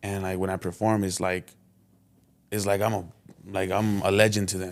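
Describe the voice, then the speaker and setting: Delivered at a moderate pace in a monotone, flat intonation, the speech sits on a very clean recording with a silent background. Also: man, fairly low pitch for a man. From South Central Los Angeles. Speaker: local rapper. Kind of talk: casual interview chat. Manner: quiet, reserved.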